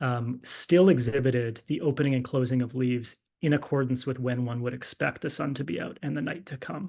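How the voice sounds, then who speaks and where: Fairly quick in pace, this man keeps his intonation fairly even. His pitch sits in the medium range. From English-speaking Canada. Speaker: physician and clinical fellow presenting research. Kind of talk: lecture.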